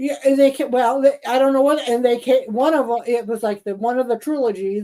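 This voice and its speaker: The tone is dark and mellow, and the intonation stays fairly even. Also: woman, high pitch for a woman. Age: 70s. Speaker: podcast co-host. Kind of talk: casual chat. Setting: live stream. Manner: halting.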